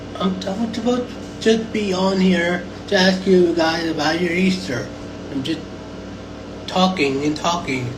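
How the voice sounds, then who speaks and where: Amid noticeable background noise, the speaker goes at a fairly slow pace with long, frequent pauses. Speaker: social media livestreamer. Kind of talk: casual livestream monologue. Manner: hesitant, many fillers; talking loud over fan.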